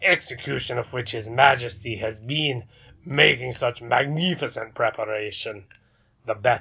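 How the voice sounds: Ordinary pitch variation colors a natural reading voice.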